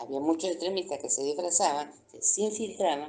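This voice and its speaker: A woman's voice carries a dark, mellow tone and fairly even intonation. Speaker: retired military base nurse. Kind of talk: interview, personal testimony.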